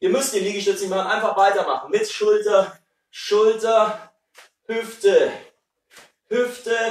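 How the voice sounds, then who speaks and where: A high-pitched man speaks at a moderate pace with fairly even intonation, and room echo is audible. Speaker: fitness instructor. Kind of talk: workout instruction. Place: kitchen. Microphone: camera far.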